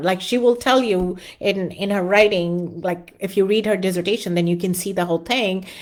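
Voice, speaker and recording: The woman's voice sits at a medium pitch. Her intonation is fairly even. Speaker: academic journal editor and qualitative research teacher. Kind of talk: live online lecture. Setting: live stream with chat. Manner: fast.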